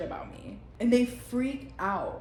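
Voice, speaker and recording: A woman in an animated tone with lively intonation, amid audible room echo. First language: Spanish. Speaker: vlogger. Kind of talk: casual monologue vlog. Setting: at home on couch.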